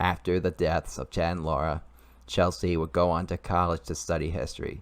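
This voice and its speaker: In a very clean recording with a silent background, a man speaks at a very deep, low pitch with vocal fry. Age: 20s. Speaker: YouTuber and amateur writer. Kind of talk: reading aloud own story. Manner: halting, repeats and restarts sentences.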